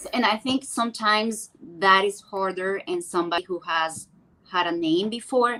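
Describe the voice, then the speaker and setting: Her tone bright and sharp, a woman speaks at medium pitch and a moderate pace with ordinary pitch variation. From Venezuela. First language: Spanish. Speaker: actress. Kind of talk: interview.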